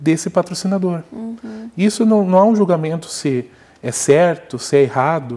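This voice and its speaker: The intonation is lively. Delivery stays fairly slow. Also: man. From Antonina, Paraná coast, southern Brazil; Paraná, Brazil. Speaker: music researcher; guest. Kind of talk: interview. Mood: calm, explanatory. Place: studio.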